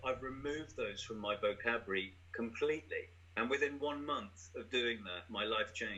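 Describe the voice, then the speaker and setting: At a moderate pace, a man with an English accent speaks at a medium pitch with ordinary pitch variation. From England. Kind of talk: casual conversational interview.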